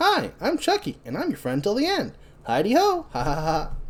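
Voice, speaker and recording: This is a put-on character voice. It moves along at a medium speed. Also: man, extremely high pitch for a man. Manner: cheerful, sing-song.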